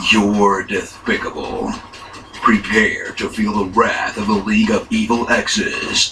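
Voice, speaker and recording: Using a put-on character voice, a man speaks at a fairly slow pace over clear background noise. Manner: epic, dramatic.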